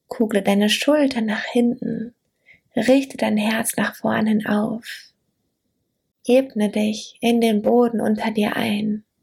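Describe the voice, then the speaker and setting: A woman speaks very slowly at a fairly high pitch, with long, frequent pauses. Her warm, soothing tone is somewhat breathy, and her intonation is monotone and flat. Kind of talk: guided meditation. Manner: slow, soothing, gentle; warm, intimate, dreamy.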